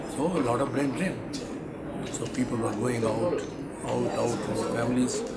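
A man at a middling speed, with heavy noise in the background. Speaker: interviewee. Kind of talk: interview answer. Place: meeting room.

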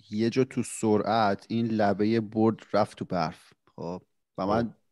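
Against a quiet background, a man with a fairly low pitch and dark, mellow tone speaks at a moderate pace in a dry sound with no echo. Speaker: podcast co-host. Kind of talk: casual chat. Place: home room. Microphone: studio mic.

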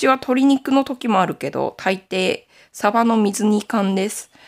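On a very clean recording with a silent background, a woman at medium pitch speaks with vocal fry. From Aomori, Nanbu region, Japan. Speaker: knitting YouTuber. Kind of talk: casual chat.

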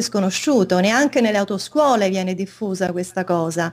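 Here a woman speaks at a moderate pace. Her pitch varies in an ordinary way. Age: 50s. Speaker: interview guest. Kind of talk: interview. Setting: video call. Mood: calm, explanatory. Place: home room.

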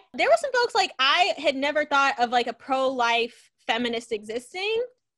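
A raised, projected voice with a bright, sharp tone moves at a fairly quick pace over a quiet background. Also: woman. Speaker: educator and author, show host. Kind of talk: casual chat. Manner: animated. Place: home room. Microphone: video call.

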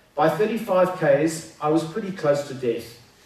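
There is audible room echo around this man's voice. He uses ordinary pitch variation. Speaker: conference speaker. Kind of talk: motivational talk, storytelling. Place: hall. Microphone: camera far.

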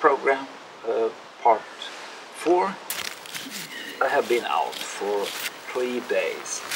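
Through noticeable background noise, a man talks at a very slow pace. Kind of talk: casual vlog chat. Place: garden.

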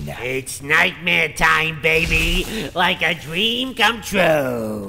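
Using a put-on character voice, a man talks very slowly at a fairly high pitch. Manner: loud, gleeful, thuggish.

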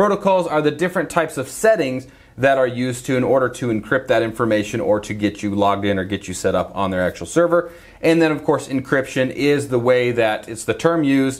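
Talking at a very fast pace, a man keeps his intonation lively. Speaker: presenter. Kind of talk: tutorial. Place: office.

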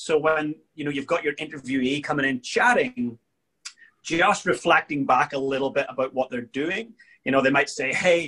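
A speaker with a Northern Irish accent talks at a moderate pace in a bright, sharp tone, with ordinary pitch variation against a quiet background. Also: man. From Northern Ireland. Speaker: leadership coach and world champion drummer; leadership coach. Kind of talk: interview. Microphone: video call.

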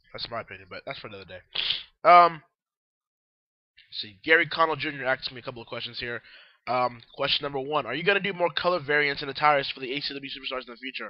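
A man's medium-pitched voice at a fast pace, with ordinary pitch variation.

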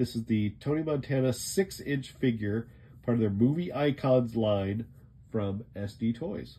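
A fairly slow delivery with ordinary pitch variation. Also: man. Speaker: toy reviewer. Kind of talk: product review commentary. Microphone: phone near.

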